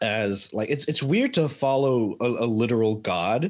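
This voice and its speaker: In a very clean recording with a silent background, a man speaks with an American accent at a medium pitch. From Miami, Florida. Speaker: lab manager. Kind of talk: casual chat.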